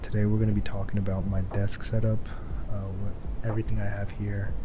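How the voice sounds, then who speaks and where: Speech comes at a fairly quick pace. Noticeable background noise is present. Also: man. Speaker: ASMR creator. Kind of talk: casual talk to camera, first ASMR attempt. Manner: soft-spoken. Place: home room.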